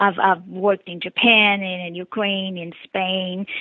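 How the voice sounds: Speaking at a fairly slow pace, a woman uses a medium pitch and a Brazilian accent.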